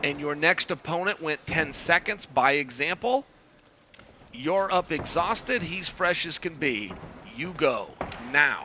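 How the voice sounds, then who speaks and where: A man speaks at a fairly slow pace, with a high pitch. Long, frequent pauses break up his speech over noticeable background noise. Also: lively intonation. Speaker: grappling commentator. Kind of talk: live commentary.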